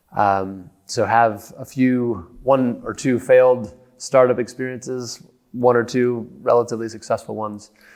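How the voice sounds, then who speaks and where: With an American accent and an ordinary speaking voice, a man talks at a medium pitch and a fairly slow pace, his intonation fairly even. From United States. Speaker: company executive. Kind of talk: podcast interview.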